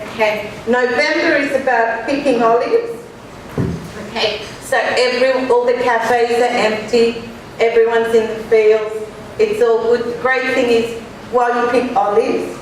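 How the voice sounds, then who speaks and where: A woman speaks loudly at a high pitch in a monotone, flat intonation. Noticeable background noise and audible room echo surround her voice. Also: moderate pace. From Australia (Sydney). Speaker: author and speaker. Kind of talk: conference talk. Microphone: microphone held far away.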